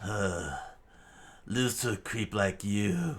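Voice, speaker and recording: Pitching it fairly low, a man performs a put-on character voice. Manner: very slow, resolute.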